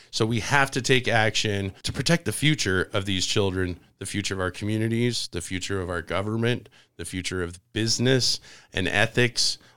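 A man uses an ordinary speaking voice, fairly low in pitch with ordinary pitch variation, at a moderate pace. The recording is very clean with a silent background. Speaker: political talk show host. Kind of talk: interview. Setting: studio.

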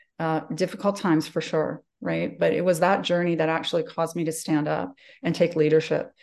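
Speaking with a Western Canadian accent, a woman has a dark, mellow tone, fairly low pitch, ordinary pitch variation and a moderate pace. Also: quiet background. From Calgary, Canada. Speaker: executive presence coach. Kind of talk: interview.

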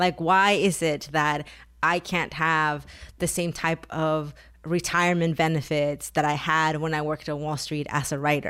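A woman speaks with a Spanish accent at a fairly slow pace. Her pitch is very deep and low, and her intonation is flat and monotone. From Mexico (Taxco, Guerrero), moved to US at 11. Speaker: author and activist. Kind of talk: interview.

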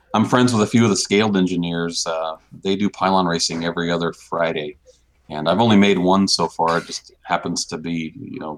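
Talking at a fairly quick pace, a man has a very deep, low pitch with ordinary pitch variation. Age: 40s. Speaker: NASA chief pilot and RC airplane hobbyist. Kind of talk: casual interview.

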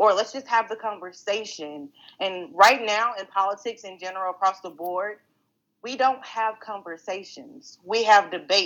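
Medium pitch from a woman, with ordinary pitch variation and big swings in loudness. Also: moderate pace. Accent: Texan. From Texas, Greenville. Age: 30s. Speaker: political candidate and council member. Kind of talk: interview.

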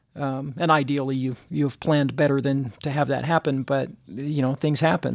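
Clean to a high degree, the recording has a silent background. The speech comes at a moderate pace with an American accent. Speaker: podcast co-host. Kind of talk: casual chat.

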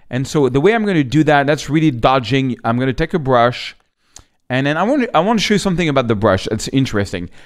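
A man with a French accent talks at a fairly quick pace, his pitch swinging very widely. The recording is very clean, with a silent background. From France. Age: 50s. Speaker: photographer and photography teacher. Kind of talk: tutorial. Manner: casual, slightly halting.

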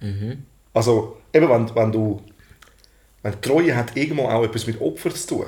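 A man talks in a somewhat breathy voice at a medium pitch. His pitch variation is ordinary. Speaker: podcast co-host and entertainer. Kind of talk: casual chat. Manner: fast.

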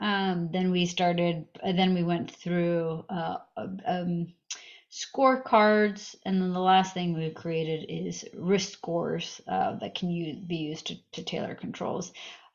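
With an American accent, a woman with a fairly low voice speaks at a very slow pace and fairly even intonation. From US Northeast, Massachusetts. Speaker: startup founder. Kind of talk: interview.

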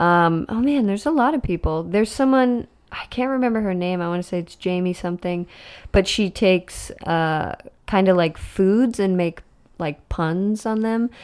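A woman with a normal speaking voice talks at a moderate pace and medium pitch. Her intonation is lively, and the recording is very clean with a silent background. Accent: American. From Boston, then Florida. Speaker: comedian and actress. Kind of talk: casual chat.

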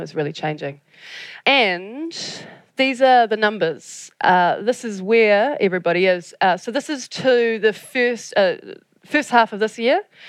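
A woman's intonation is lively, and the background is quiet. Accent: New Zealand. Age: 40s. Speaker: audience engagement specialist. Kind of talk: conference talk. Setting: stage with audience.

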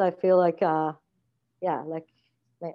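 A woman with an Iranian accent, her pitch fairly low, her pace fairly quick. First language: Farsi. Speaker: theatre artistic director. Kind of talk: casual interview chat. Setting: video call. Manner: hesitant, many fillers.

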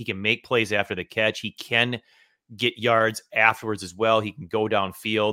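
A man with a normal speaking voice and fairly low pitch talks at a moderate pace. The recording is very clean with a silent background, and the sound is dry and close with no echo. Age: 40s. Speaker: fantasy football podcast host. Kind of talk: casual chat.

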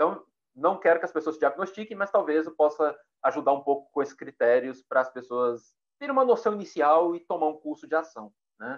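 Fairly high pitch and lively intonation from a man with an ordinary speaking voice, at a fairly quick pace. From Minas Gerais, Brazil (Pedro Leopoldo, near Belo Horizonte). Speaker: psychologist and university researcher. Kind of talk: casual chat.

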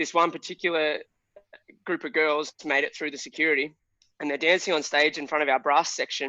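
A man talks at a fairly quick pace with an Australian accent. His pitch sits fairly high. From Australia, Shepparton, Victoria. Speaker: pub band musician. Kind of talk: casual chat.

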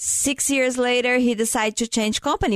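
A woman with a non-native accent speaks at a moderate pace, the sound dry and close with no echo over a quiet background. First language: not English. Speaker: insurance agent and radio co-host. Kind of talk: radio talk show.

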